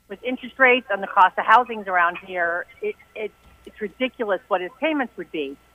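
A woman with an American accent talks at a fairly quick pace and medium pitch, with lively intonation. Her loudness swings a lot, and noticeable background noise is present. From Maryland. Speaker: landlord, caller. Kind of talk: phone-in question. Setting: phone call.

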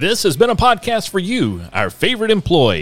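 This man's voice has audible vocal fry. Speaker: show announcer. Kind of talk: scripted narration.

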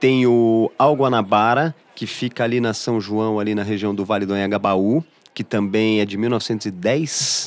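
This is an ordinary speaking voice from a man, fairly low in pitch. He talks at a fairly slow pace with fairly even intonation. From Brazil, São Paulo city. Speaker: journalist, entrepreneur. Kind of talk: casual chat. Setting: studio.

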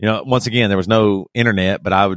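A man with an American accent speaks in an unremarkable speaking voice, his intonation fairly even. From US South. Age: 40s. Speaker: rock band singer. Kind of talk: casual interview. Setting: remote call.

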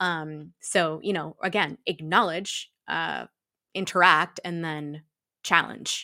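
Marked by vocal fry and an American accent, the voice moves at a very slow pace in a dry, close sound with no echo. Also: woman. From Massachusetts, US (Shrewsbury). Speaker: equity, diversity and inclusion consultant. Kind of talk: casual interview. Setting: video call from home.

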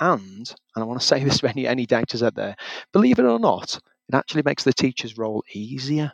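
The sound is dry and close with no echo as a man of medium pitch speaks at a very fast pace with ordinary pitch variation. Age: 40s. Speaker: welding teacher. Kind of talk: interview.

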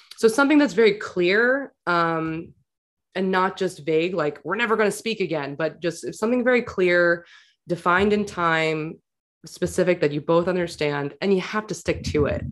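A woman with an American accent uses an ordinary speaking voice at a fairly low pitch. She talks at a moderate pace with ordinary pitch variation. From New York City. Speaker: clinical psychologist, podcaster. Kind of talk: casual interview chat.

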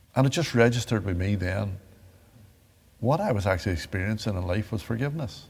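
Very fast bursts from a somewhat breathy man with a Northern Irish accent, fairly low in pitch, with ordinary pitch variation and long, frequent pauses. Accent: Derry Northern Irish. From Northern Ireland, Derry. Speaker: victim of the Troubles turned peace advocate. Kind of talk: interview testimony.

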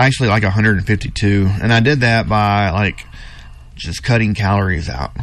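A man talks at a fairly low pitch. He has a normal speaking voice. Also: ordinary pitch variation, fairly slow pace. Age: 40s. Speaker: gym owner. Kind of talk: radio interview.

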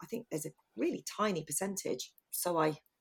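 At a moderate pace, a woman speaks in a normal speaking voice with a medium pitch. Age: 40s. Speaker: photographer and podcast co-host. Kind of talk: casual chat.

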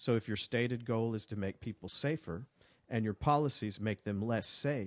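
A man with an Alabama accent at a moderate pace, dry and close with no echo, over a quiet background. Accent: Southern US (Alabama). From US South (Alabama: Birmingham, Montgomery). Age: 40s. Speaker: writer. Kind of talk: casual chat. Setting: studio.

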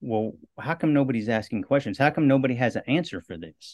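In an American accent, a man talks at a fairly quick pace with ordinary pitch variation against a quiet background. He has a plain, everyday voice. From US Midwest, western Iowa. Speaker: movement coach and cancer survivor. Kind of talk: interview.

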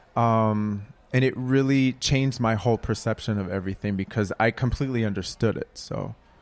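A man with an American accent has an unremarkable speaking voice at a medium pitch. He talks at a fairly quick pace with fairly even intonation. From Minneapolis, US Midwest. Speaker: playwright. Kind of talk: live panel discussion. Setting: live event with audience.

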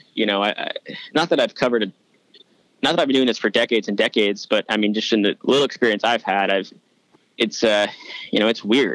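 A man with an American accent at a medium pitch, very fast yet broken by long, frequent pauses, with ordinary pitch variation, very even loudness, and a dry, close sound with no echo. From New York. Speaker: sports reporter. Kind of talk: casual interview.

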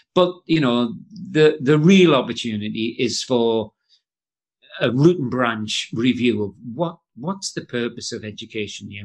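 Against a quiet background, a man with a medium pitch talks at a moderate pace with ordinary pitch variation. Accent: Geordie. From northeast England (Jarrow, Tyneside). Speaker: education author and trainer. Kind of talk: casual interview chat.

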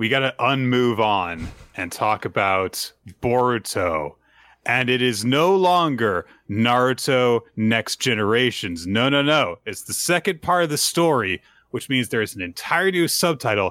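A man with an American accent speaks at a fairly slow pace and medium pitch, his voice making very wide pitch swings. The recording is very clean with a silent background and a dry, close sound with no echo. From Tampa area, Florida. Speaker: manga podcast host. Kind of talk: casual podcast discussion.

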